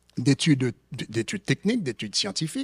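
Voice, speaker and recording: At a moderate pace, a man's somewhat breathy voice makes very wide pitch swings in a dry, close recording with no echo. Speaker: economist, conference panelist. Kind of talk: conference presentation. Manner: hesitant, many fillers and repetitions.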